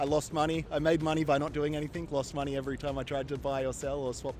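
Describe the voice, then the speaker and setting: Very fast speech from a man with an Australian accent, fairly high in pitch and monotone and flat, with music in the background. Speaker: tourist, former crypto trader. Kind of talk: street interview. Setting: outdoors on the street in Kuala Lumpur.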